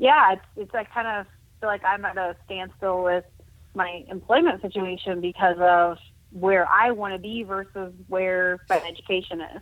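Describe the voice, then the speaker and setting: A woman with an ordinary speaking voice talks at a fairly slow pace. Her pitch is medium. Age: 30s. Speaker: blind para judo athlete. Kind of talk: casual interview chat.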